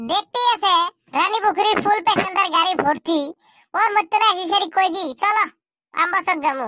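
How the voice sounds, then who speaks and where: A cartoonish character voice, squeaky and at an extremely high pitch. It moves at a moderate pace. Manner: pushy, insistent.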